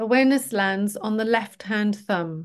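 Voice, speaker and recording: Against a quiet background, a woman speaks very slowly at a medium pitch. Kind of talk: guided meditation (yoga nidra). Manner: slow, calm, soothing, gently paced with pauses; instructional, reassuring, rhythmic body-part listing.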